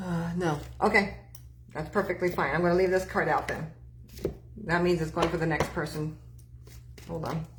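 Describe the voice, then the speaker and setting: A woman speaks in a fairly low pitch with a monotone, flat intonation, leaving long, frequent pauses. Audible room echo surrounds her voice. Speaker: psychic medium. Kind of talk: live-stream tarot and mediumship readings. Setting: live stream with online chat. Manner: fast; stammering with false starts.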